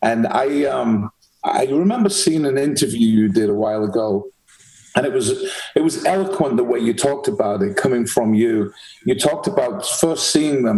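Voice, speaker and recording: A man at medium pitch speaks with a Manchester accent at a moderate pace, his very wide pitch swings paired with very even loudness. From England, Manchester. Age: 60s. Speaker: podcast host. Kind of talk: interview.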